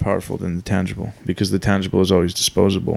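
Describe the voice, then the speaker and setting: A man talks at a very fast pace. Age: 20s. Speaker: trial co-host. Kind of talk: casual chat. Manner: animated.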